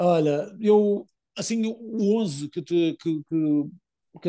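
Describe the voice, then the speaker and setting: A man speaks in a high voice. His tone is dark and mellow. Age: 20s. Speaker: footballer, team captain. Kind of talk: interview. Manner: halting, many fillers and repetitions.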